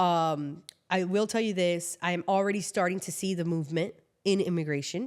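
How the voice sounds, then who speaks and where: A woman with a Miami accent, fairly low in pitch, at a fairly quick pace with fairly even intonation, on a very clean recording over a silent background. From Miami, Florida (Cuban-born). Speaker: immigration lawyer. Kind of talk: casual chat.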